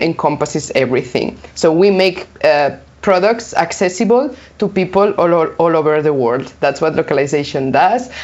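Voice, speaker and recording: A woman with a Spanish accent speaks at a moderate pace in a fairly low voice. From Spain. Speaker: localization consultant. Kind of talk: interview.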